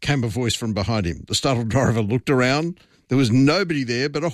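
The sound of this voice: With ordinary pitch variation, the delivery comes in an unforced reading voice.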